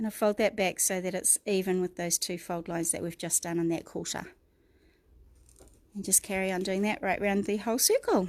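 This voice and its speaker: A woman with a New Zealand accent talks at a fairly quick pace and medium pitch, with fairly even intonation, in a very clean recording with a silent background. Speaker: craft tutor. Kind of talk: tutorial. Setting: livestream.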